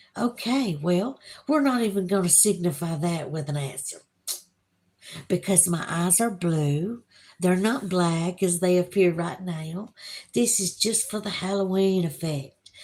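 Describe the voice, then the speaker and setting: Speaking in a strong Southern US accent, a woman uses lively intonation at a medium pitch and a fairly slow pace. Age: 50s. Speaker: YouTube livestreamer. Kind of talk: casual livestream chat reading viewer comments. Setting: home livestream by candlelight with Halloween music.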